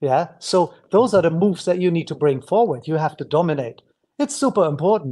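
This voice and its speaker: A man with a German accent speaks in a high voice, his dark, mellow tone carried by lively intonation. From Germany. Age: 50s. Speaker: breakdancer and dance teacher. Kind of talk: podcast interview. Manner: halting.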